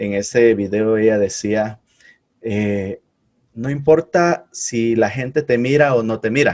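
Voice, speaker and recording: A man talks at a medium pitch that shifts in an ordinary way. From Guatemala. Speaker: podcast host. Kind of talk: casual interview.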